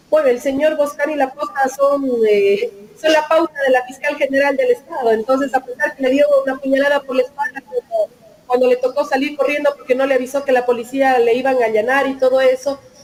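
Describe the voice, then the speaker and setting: With noticeable background noise behind her, a woman speaks at a high pitch. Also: fairly even intonation, fairly quick pace. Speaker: lawyer-activist, member of a legal collective. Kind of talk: interview. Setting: video call from her office.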